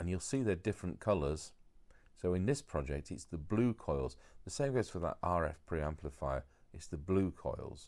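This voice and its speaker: With a very deep, low pitch and lively intonation, a man speaks at a moderate pace. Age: 60s. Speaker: radio repair technician. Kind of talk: tutorial. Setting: overdubbed voiceover. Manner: casual, hesitant with fillers.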